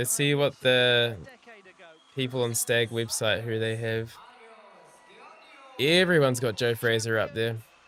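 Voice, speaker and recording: A New Zealand accent at a fairly slow pace, with long, frequent pauses. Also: man, medium pitch for a man. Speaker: gymnastics commentator and streamer. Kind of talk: live watch-along commentary. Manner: mumbling.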